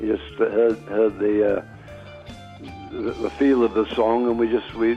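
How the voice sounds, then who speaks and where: Music plays in the background as a man with a fairly low voice speaks at a fairly slow pace with ordinary pitch variation. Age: 80s+. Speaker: blues musician. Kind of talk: interview answer.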